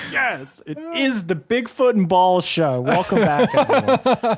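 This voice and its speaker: A man with an American accent speaks at a very slow pace in a high voice, his pitch swinging very widely. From US South. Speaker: podcast co-host. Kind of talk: casual chat. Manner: animated.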